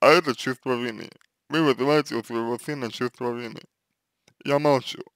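A man talks at a moderate pace in a dry, close recording with no echo. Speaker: psychologist answering viewer questions. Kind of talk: advice answer, consultation. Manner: hesitant, filler-heavy, formal.

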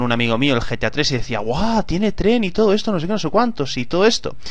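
At a fairly quick pace, a man delivers his words. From Spain. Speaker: gaming YouTuber. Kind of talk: gameplay commentary. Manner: animated.

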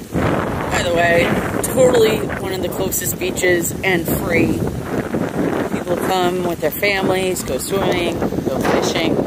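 Loud background noise fills the clip as a man talks at a fairly slow pace. The sound is dry, with no echo. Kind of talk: casual vlog chat. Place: beach. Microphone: phone near.

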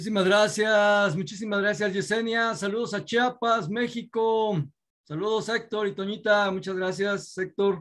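The man's pitch is high and his intonation fairly even. He goes at a fairly slow pace against a quiet background. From Mexico. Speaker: network marketing leader; host of business webinar. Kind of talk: Q&A, mentoring talk. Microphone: video call.

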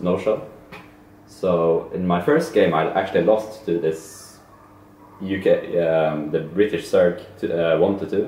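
Over light background noise and audible room echo, the speaker goes at a very slow pace with ordinary pitch variation. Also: man. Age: young. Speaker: esports player. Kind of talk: casual chat. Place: home room. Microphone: camera far.

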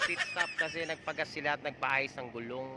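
The speech moves fairly quickly while noticeable background noise runs underneath. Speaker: vlogger doing race commentary. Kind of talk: live race commentary. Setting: outdoors, roadside. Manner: excitable, fast, shouting play-by-play; animated, breathless, exclaiming as riders overtake.

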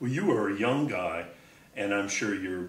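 With an American accent, a man talks at a moderate pace in a fairly low pitch with ordinary variation, and audible room echo surrounds him. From Michigan, USA. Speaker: interviewer. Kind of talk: interview questions. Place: studio.

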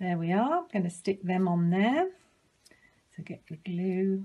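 A woman's dark, mellow voice, somewhat breathy. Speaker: librarian. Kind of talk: children's craft tutorial. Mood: cheerful, gentle. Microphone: phone near.

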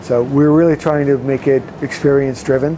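With music playing behind him, a man keeps a moderate pace. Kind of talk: interview answer. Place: boat. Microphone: lapel.

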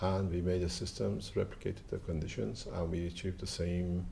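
A man with a very deep, low pitch and vocal fry speaks at a moderate pace over light background noise. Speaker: interviewee. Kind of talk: interview answer. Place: street. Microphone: lapel.

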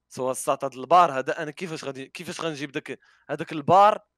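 A man's bright, sharp voice moves at a fairly quick pace, the sound dry with no echo. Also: quiet background. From Morocco. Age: 20s. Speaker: YouTuber and streamer; YouTuber, streamer. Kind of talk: casual interview. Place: home room. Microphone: headset.

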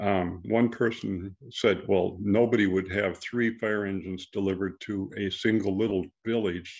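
A man with an unremarkable speaking voice talks at a fairly slow pace, his fairly low pitch moving in fairly even intonation over a quiet background. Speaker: presenter. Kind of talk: presentation to club. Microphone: video call.

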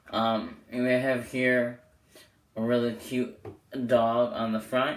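A man is speaking. Audible room echo follows his voice. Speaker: amateur magician reviewing playing cards. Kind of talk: product review video. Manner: casual, filler-heavy.

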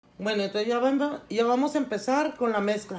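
A woman's slightly mellow tone at medium pitch

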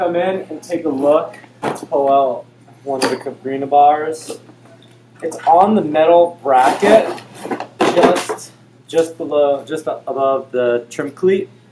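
There is noticeable background noise behind this man. He speaks at a very slow pace with ordinary pitch variation. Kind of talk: tutorial. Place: shop. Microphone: camera far.

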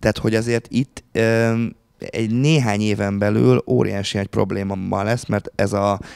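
A man talks with fairly even intonation and a fairly low pitch, keeping a moderate pace over a quiet background. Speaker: university lecturer. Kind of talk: panel discussion. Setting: stage with audience. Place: meeting room. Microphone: handheld.

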